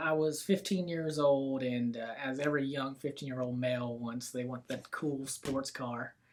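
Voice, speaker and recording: Fairly slow speech from a man with a Southern accent, fairly high in pitch, with hardly any pauses. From US South, Florida Panhandle (Bay County). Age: 20s. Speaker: real estate business owner. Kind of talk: casual interview chat.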